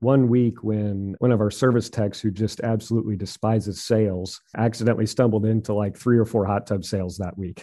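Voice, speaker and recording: This man speaks with an American accent, a fairly low pitch and monotone, flat intonation. His pace is fairly quick, with hardly any pauses and big swings in loudness. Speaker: hot tub retailer, business owner. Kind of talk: interview.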